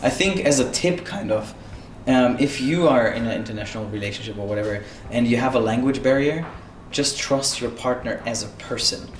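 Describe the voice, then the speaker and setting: A non-native accent at a fairly quick pace over noticeable background noise. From Europe. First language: not English. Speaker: YouTube channel co-host. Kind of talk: casual chat.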